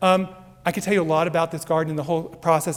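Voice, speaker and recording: A man with a high-pitched voice at a very fast pace. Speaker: entomology research professor. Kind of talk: conference talk.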